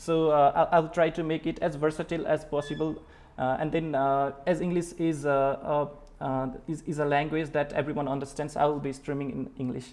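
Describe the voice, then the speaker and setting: A man with a Nepali accent, speaking at a fairly quick pace in monotone, flat intonation. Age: 20s. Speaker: programming teacher. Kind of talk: live-stream tutorial. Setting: live stream. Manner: halting, many filler words. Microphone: webcam.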